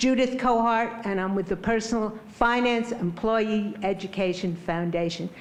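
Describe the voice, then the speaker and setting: A woman's fairly high voice at a moderate pace, fairly even in intonation with hardly any pauses, amid audible room echo and noticeable background noise. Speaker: public commenter at hearing. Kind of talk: public comment at hearing. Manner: loud.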